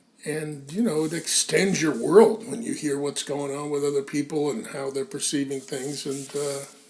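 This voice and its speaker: A man's fairly high voice at a moderate pace, with ordinary pitch variation, hardly any pauses, and noticeable background noise. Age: 60s. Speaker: magazine founding editor. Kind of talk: casual chat. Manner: halting, many fillers.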